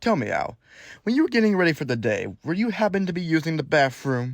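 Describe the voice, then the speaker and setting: Putting on a character voice, a man speaks very fast at a high pitch. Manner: taunting, mocking.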